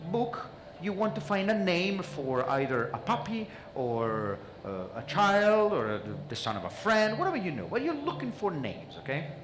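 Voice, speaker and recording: A man speaks at a moderate pace with a non-native accent, his pitch swinging very widely. Noticeable background noise and audible room echo fill the recording. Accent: noticeable foreign. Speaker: mentalist. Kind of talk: stage magic performance with audience interaction. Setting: stage with audience. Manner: animated.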